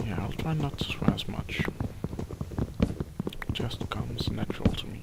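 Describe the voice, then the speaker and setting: A very slow whisper over noticeable background noise. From Denmark. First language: Danish. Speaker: gaming YouTuber. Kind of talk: gameplay commentary.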